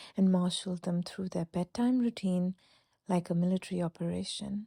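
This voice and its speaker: A woman's somewhat breathy, dark, mellow voice at a medium pitch, soothing and calm in tone, with a dry, close sound with no echo on a very clean recording with a silent background. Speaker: sleep story narrator. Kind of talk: sleep story. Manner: soft, soothing, calm.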